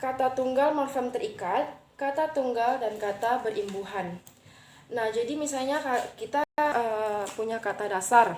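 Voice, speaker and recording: A woman with a high voice moves at a fairly slow pace, her pitch varying in an ordinary way. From Riau, Siak regency (Indonesia). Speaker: university student. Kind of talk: class assignment presentation. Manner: hesitant, with frequent fillers.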